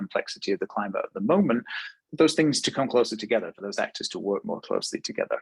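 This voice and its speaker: This is a man with a British accent. The sound is dry and close, with no echo. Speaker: webinar presenter, fashion technology consultant. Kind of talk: webinar presentation. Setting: online webinar. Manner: fluent with frequent fillers and repetitions.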